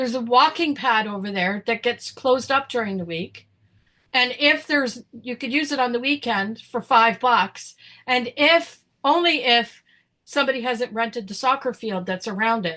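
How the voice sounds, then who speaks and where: In a Canadian accent, a woman with a high voice and a bright, sharp tone speaks at a moderate pace with ordinary pitch variation against a quiet background. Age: 60s. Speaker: podcast co-host. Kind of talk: casual chat. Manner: animated; halting.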